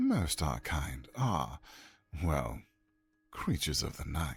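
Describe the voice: In a put-on character voice, the speaker talks at a fairly slow pace with a very deep, low pitch.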